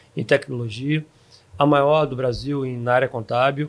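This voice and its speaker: This is a normal speaking voice from a man, pitched fairly high. His intonation stays fairly even. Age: 60s. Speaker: software company founder. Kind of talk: podcast interview. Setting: recorded at a live event.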